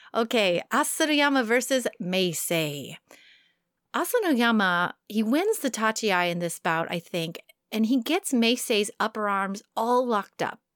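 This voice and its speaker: On a very clean recording with a silent background, a woman speaks at a fairly high pitch. Her intonation is lively and her pace fairly slow. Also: dry, close sound with no echo. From New York. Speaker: podcast host. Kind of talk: casual chat.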